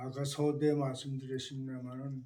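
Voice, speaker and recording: A man with a dark, mellow tone and a fairly high pitch speaks in a monotone, flat way amid audible room echo. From South Korea, Chungju (North Chungcheong). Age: 80s+. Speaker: war-bereaved family member. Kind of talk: life-story interview. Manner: halting, many fillers and restarts.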